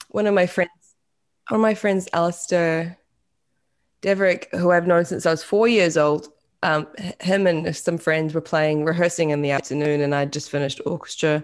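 In a New Zealand accent, a woman with a fairly low pitch speaks at a moderate pace and with fairly even intonation. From New Zealand, West Auckland. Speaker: singer-songwriter. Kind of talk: casual chat. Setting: video call.

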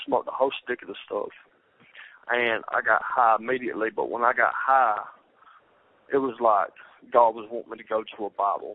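A man talks in a Southern US accent. He leaves long, frequent pauses. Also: fairly quick pace. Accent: Southern US (Georgia). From US South, Georgia (Rome). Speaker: former inmate sharing his conversion. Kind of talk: testimony.

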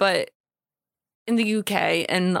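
A woman's voice with fairly even intonation, dry and close with no echo. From US Midwest, Illinois. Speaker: co-host. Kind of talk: casual chat.

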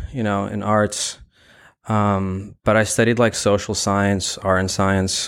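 A man with an American accent and an unremarkable speaking voice talks fairly slowly in a fairly low pitch, in a very clean recording with a silent background. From Brooklyn, New York. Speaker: gallery curator and founder. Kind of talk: interview. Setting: in a mall.

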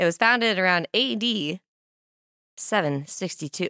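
A woman in a Midwestern US accent, animated, with a bright, sharp tone, lively intonation and medium pitch, dry and close with no echo on a very clean recording with a silent background. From Kearney, Nebraska. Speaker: podcast host. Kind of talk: casual interview chat. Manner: animated, laughs often.

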